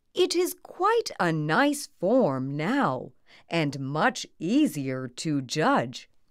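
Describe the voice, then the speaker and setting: A woman does a put-on character voice at a fairly low pitch. She speaks very slowly in a very clean recording with a silent background. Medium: read story. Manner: serious, courteous.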